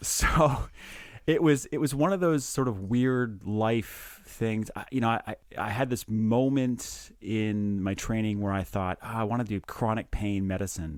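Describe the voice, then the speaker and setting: On a very clean recording with a silent background, a man with a slight Canadian accent speaks at a fairly slow pace, medium pitch and ordinary pitch variation. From Canada, small town in Ontario. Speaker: anesthesiologist and podcast co-host. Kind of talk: casual chat. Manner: halting, with frequent repeated words.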